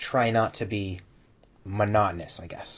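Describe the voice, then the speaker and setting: This man's voice sits fairly low in pitch. It has a somewhat breathy quality. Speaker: YouTuber and voice actor. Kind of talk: casual chat.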